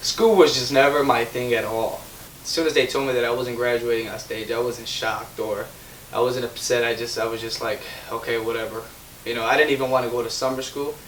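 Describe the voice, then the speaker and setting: A man at a fairly quick pace, medium pitch and monotone, flat intonation, with audible room echo and noticeable background noise. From Chicago, US Midwest. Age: 20s. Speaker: young entrepreneur. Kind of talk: interview, personal story. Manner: halting.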